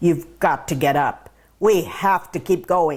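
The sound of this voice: At a fairly slow pace, a put-on character voice growls at a middle pitch.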